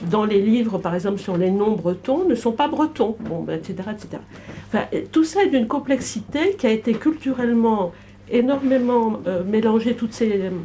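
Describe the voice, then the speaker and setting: At a moderate pace, a woman talks in a fairly high voice with lively intonation. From Brittany, France. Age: 60s. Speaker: audience member. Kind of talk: public debate. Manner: halting.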